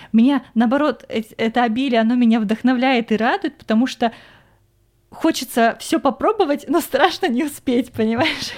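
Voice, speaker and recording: Her high voice full of lively intonation, a woman talks at a fairly quick pace. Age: 20s. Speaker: podcast host, film industry worker. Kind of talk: casual chat.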